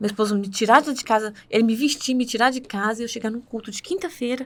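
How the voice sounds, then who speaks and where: On a very clean recording with a silent background, a woman speaks at a fairly high pitch. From northern Minas Gerais, Brazil. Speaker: church worship singer. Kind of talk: testimony. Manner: fast.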